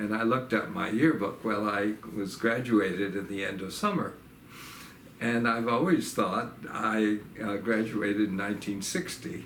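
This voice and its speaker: A man speaks at a moderate pace in a fairly low pitch with ordinary pitch variation. Room echo is audible. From New York (upstate, Staten Island). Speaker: retired professor. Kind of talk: oral history interview. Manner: halting, many fillers.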